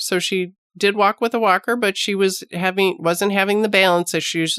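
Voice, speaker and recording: A woman speaks in a normal speaking voice at a medium pitch and moderate pace, with fairly even intonation. The sound is dry and close, with no echo. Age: 50s. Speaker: nurse and podcast host. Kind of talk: health podcast monologue. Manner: conversational.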